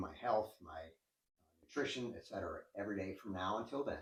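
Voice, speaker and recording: A man's somewhat breathy voice, fairly low in pitch, moves at a moderate pace. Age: 60s. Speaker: endurance cyclist and coach. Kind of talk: interview. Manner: hesitant, with frequent fillers.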